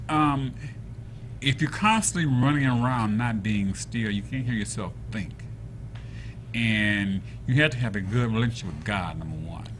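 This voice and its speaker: Pausing long and often, a man speaks at medium pitch and a moderate pace with ordinary pitch variation, room echo audible. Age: 60s. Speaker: entrepreneur. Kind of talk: talk show interview.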